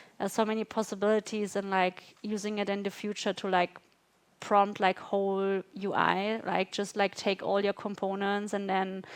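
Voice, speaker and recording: A woman with a non-native accent speaks at a moderate pace in a monotone, flat intonation. The recording is very clean, dry and close, with no echo and a silent background. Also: medium pitch for a woman. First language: not English. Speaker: design systems manager. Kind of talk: fireside chat. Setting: live event with audience.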